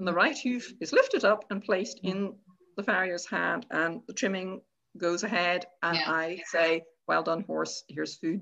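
A woman's medium-pitched voice with a bright, sharp tone and vocal fry. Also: ordinary pitch variation, moderate pace. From Ireland. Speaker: horse trainer. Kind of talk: casual interview chat. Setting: video call.

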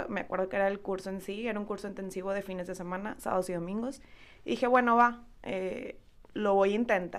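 A woman's unremarkable speaking voice at medium pitch, fairly quick pace and ordinary pitch variation. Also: very clean recording, silent background. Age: 20s. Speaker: entrepreneur, massage therapist. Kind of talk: casual interview chat.

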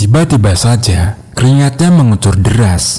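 It is a plain, everyday voice with lively intonation, moving at a fairly slow pace. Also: man. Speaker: horror story narrator. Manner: hushed, suspenseful, slow-paced build; shifts into characters' voices, uneasy and nervous in dialogue.

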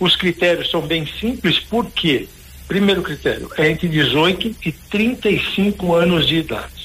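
Against noticeable background noise, a man talks at a fairly slow pace in a high pitch with ordinary pitch variation. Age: 50s. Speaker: professor and charity founder. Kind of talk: radio interview. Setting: phone call.

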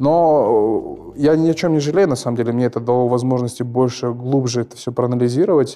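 Speaking with hardly any pauses, a man has a medium pitch, ordinary pitch variation, and a dark, mellow tone. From Kazakhstan. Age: 20s. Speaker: mortgage borrower sharing experience. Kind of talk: casual chat.

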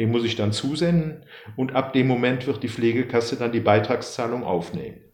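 In a room with audible echo, a man of medium pitch speaks at a moderate pace with ordinary pitch variation. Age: 60s. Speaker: pension law expert and writer. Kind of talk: expert interview. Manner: halting.

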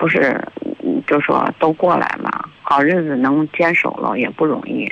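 Noticeable noise hums behind a woman who talks at a moderate pace. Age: 50s. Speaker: caller. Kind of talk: casual chat. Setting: phone call. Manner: halting.

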